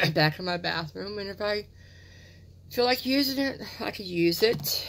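This woman's pitch swings very widely. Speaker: beauty product reviewer. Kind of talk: casual vlog chat. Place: home room. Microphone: phone near.

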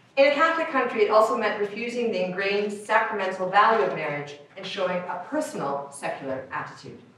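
Amid strong room echo and light background noise, a woman with a fairly high pitch talks at a fairly quick pace, her pitch swinging very widely. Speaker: academic researcher reading a paper; conference presenter. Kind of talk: reading aloud. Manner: fast. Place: meeting room.

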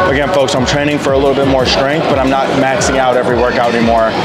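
Over clear background music, a man talks at a very fast pace. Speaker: fitness trainer vlogger. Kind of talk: casual vlog chat. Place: gym. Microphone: phone near.

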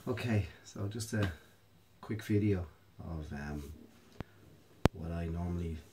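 In a calm tone, a man with a very deep, low pitch speaks somewhat breathily. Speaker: mobility and yoga instructor. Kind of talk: exercise tutorial instruction. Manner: calm, hesitant with filler words.

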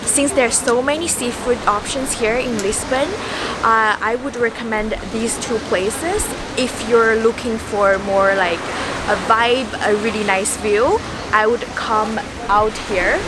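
A woman talks with a dry sound and no echo over loud background noise. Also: ordinary pitch variation, fairly slow pace. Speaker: travel vlogger. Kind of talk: casual vlog chat. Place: beach.

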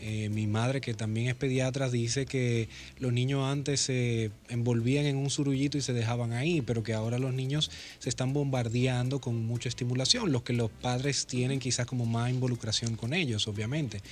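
Light background noise sits behind a man talking at a moderate pace. His loudness is very even and his intonation fairly even. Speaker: radio guest. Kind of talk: interview answer. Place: studio. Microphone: studio mic.

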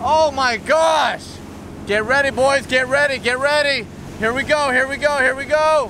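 A man's extremely high pitch, bright, sharp tone and fairly slow pace over faint background noise. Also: ordinary pitch variation.

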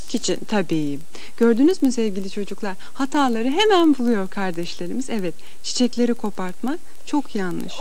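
Her pitch swings very widely. The woman keeps a moderate pace. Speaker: children's TV host. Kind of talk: talk to children on a TV show. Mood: warm, gently teaching. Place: studio. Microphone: podium.

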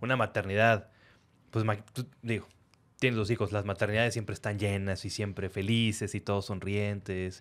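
Speaking at a moderate pace, a man at a fairly low pitch uses a monotone, flat intonation. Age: 30s. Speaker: podcast host; podcast host interviewer. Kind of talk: interview. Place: studio. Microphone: studio mic.

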